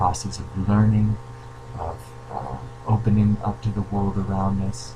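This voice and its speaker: Soft-spoken and fairly low-pitched, a man talks at a moderate pace with lively intonation over noticeable background noise. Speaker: creativity coach. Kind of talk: video Q&A monologue. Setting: at home. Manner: hesitant with fillers.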